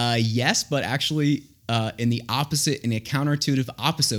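A normal speaking voice moves at a fairly quick pace with ordinary pitch variation on a very clean recording with a silent background. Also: man. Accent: American. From Florida, Tampa. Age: 30s. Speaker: AI expert and Coast Guard veteran. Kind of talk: casual chat. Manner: fast.

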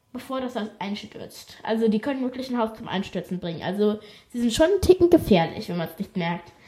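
The woman's fairly high voice comes through with noticeable background noise around it. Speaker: podcast host. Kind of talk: reading aloud. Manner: casual, chatty asides.

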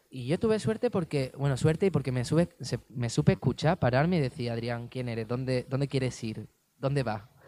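A man with an Andalusian accent speaks at a fairly quick pace and medium pitch, his tone dark and mellow in a dry, close sound with no echo. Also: ordinary pitch variation. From Andalusia, Spain (Cádiz province). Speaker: dancer. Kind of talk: interview.

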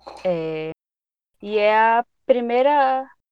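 A woman's medium-pitched voice with lively intonation, in a dry, close sound with no echo. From Pará, northern Brazil. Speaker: psychology student. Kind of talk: interview.

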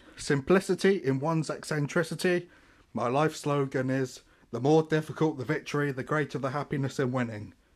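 A man speaks with a southern English accent at a fairly high pitch. The recording is very clean, with a silent background. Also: ordinary pitch variation. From Portsmouth, southern England. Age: 20s. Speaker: podcaster. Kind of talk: casual monologue. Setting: at family home in Deptford. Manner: halting.

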